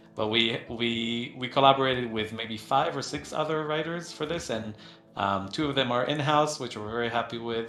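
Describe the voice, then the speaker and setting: Amid noticeable background noise and audible room echo, a man speaks at a medium pitch and moderate pace with ordinary pitch variation. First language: not English. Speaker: game company co-founder hosting community Q&A. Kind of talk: casual Q&A livestream. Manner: halting, many fillers and repetitions.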